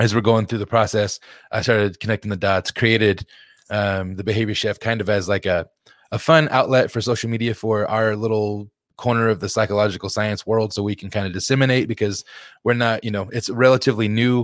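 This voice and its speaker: A man with a plain, everyday voice talks at a fairly quick pace and fairly low pitch with fairly even intonation, in a very clean recording with a silent background and a dry, close sound with no echo. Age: 30s. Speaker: behavior analyst, health coach. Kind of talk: casual interview chat.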